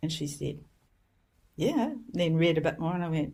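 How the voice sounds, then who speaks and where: On a very clean recording with a silent background, a woman speaks very deep and low in pitch, somewhat breathy, with ordinary pitch variation. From New Zealand. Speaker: homeopath and educator. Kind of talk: interview storytelling. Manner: engaging.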